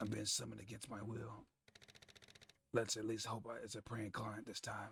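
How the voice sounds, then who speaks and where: A raspy put-on character voice from a man, with sound effects in the background. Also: medium pitch for a man, moderate pace. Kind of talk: hard-boiled detective voice-over. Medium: game stream. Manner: dry, sardonic, world-weary.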